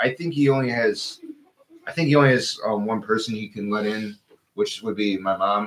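At a moderate pace and a medium pitch, a man talks with ordinary pitch variation over light background noise. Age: 30s. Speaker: co-host. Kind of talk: casual chat. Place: garage. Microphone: studio mic.

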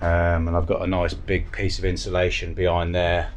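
The speech moves at a moderate pace while faint music plays in the background. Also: man. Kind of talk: casual vlog chat. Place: boat. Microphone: phone near.

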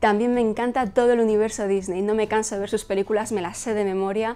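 In a Madrid accent, a woman talks at a fairly quick pace with a dark, mellow tone and monotone, flat intonation. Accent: Castilian Spanish (Madrid). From Spain, Madrid. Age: 30s. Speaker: fashion blogger and YouTuber. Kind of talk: personal vlog to camera. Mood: cheerful, warm. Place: home room. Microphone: lapel.

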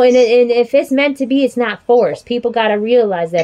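Amid noticeable background noise, a woman with a high voice speaks at a moderate pace in an animated tone with lively intonation. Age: 40s. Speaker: podcast host. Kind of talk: casual chat. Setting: video call.

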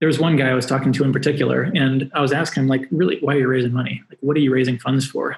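A somewhat breathy man's voice at a very fast pace, fairly even intonation, and audible room echo. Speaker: remote guest. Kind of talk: interview answer. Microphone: video call.

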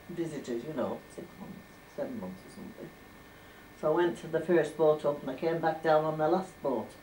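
Light background noise sits under a woman speaking at a moderate pace. Her pitch is very deep and low. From Furness, northern England. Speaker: former domestic servant. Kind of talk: oral history interview. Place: home room. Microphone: old recording.

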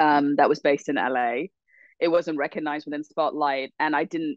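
A woman talks at a fairly quick pace with an Australian accent. Her intonation is lively. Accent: soft Australian. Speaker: actress and writer. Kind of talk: casual interview.

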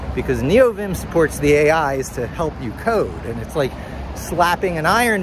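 A man with an American accent speaks in an animated tone with lively intonation over noticeable background noise. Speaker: vlogger and SEO professional. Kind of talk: solo vlog, rambling monologue and tech talk. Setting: outdoors, walking in Times Square. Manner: conversational, rambling, animated.

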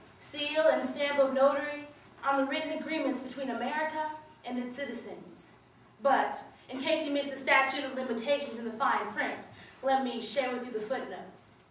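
Light background noise and audible room echo surround a woman speaking in a high pitch. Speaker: slam poet. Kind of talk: slam poetry performance, political spoken-word piece delivered live. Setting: stage with audience. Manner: rhythmic, punchy wordplay with building, accusatory intensity; long breathless run-on lines driving toward climaxes. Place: hall. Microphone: camera far.

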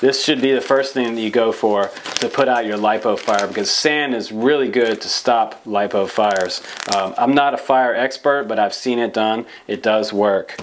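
Light background noise runs under a man's speech. His pace is moderate and his intonation fairly even. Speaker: presenter. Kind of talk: tutorial. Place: studio.

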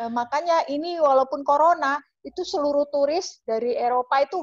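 A woman's high-pitched voice at a moderate pace, over a quiet background. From Java, Indonesia. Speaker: travel agent and YouTuber; guest. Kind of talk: interview. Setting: video call. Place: home room. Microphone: video call.

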